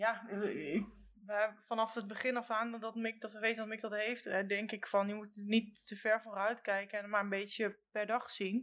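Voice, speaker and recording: A woman talks at a moderate pace. Her intonation stays monotone and flat. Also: fairly high pitch for a woman. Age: 40s. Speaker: train conductor, mother of a son with Duchenne. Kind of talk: casual interview.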